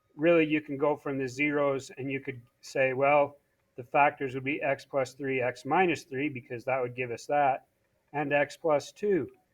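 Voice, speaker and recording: Delivered at a moderate pace, this is an ordinary speaking voice with fairly even intonation. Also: man, fairly high pitch for a man. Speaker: math teacher. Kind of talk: tutorial.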